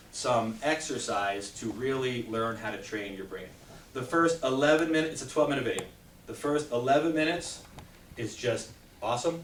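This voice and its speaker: A man speaks in an animated tone. There is audible room echo and noticeable background noise. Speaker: chiropractor giving a health talk. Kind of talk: talk to a live audience. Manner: fast.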